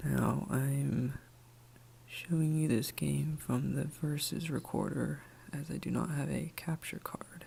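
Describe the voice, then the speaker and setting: Soft-spoken and calm in tone, at a very slow pace. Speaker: ASMR creator. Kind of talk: ASMR soft-spoken gameplay commentary. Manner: soft-spoken, calm.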